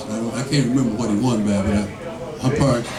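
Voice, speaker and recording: Audible room echo and noticeable background noise surround the speaker. He is a man with ordinary pitch variation. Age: 60s. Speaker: political candidate. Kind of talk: campaign Q&A talk. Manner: animated.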